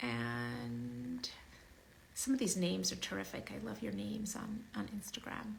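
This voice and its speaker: Fairly slow speech from a woman, with noticeable background noise and audible room echo. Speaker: physician and author hosting a live Q&A. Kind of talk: live stream talk answering comments. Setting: outdoors in sunlight, live stream. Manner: conversational, with fillers.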